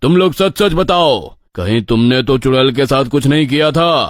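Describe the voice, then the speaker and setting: On a very clean recording with a silent background, a man in a put-on character voice speaks at a medium pitch and moderate pace with lively intonation. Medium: read story. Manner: authoritative.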